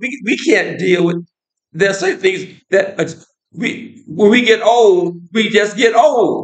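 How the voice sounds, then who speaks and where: With an American accent, this voice shows ordinary pitch variation. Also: man. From United States. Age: 70s. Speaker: political commentator. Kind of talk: casual monologue. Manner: halting, with frequent repetitions.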